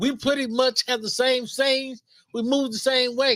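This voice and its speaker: This man's voice is extremely high-pitched, with a bright, sharp tone. He speaks in a raised, projected voice. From Los Angeles, South Central. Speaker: podcast co-host. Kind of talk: casual chat.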